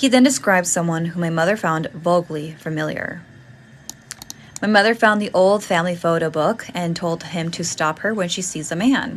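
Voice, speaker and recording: Over noticeable background noise, a woman with a fairly low pitch speaks at a moderate pace with lively intonation. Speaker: ghost story hostess. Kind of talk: reading a scary story aloud.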